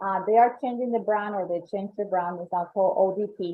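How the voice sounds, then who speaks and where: At a moderate pace, a woman with a Colombian accent speaks at a medium pitch with ordinary pitch variation. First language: Spanish. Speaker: membership coordinator. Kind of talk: presentation. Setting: online event.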